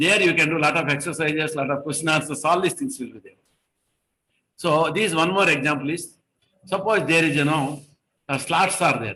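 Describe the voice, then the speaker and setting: Quick-paced and bright, sharp in tone, a man's fairly high voice shows ordinary pitch variation and long, frequent pauses. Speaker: engineering trainer. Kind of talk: online lecture. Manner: fast.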